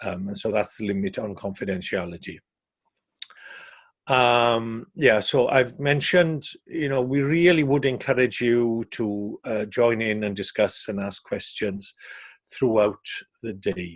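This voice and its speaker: A man speaks with a Welsh accent. His pitch sits in the medium range. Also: ordinary pitch variation, fairly slow pace. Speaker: safeguarding trainer. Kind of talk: training webinar. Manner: hesitant, many fillers.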